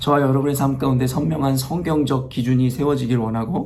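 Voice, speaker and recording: Speech at a moderate pace carries audible echo from the room. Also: man. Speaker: pastor. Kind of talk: sermon. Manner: halting, many fillers.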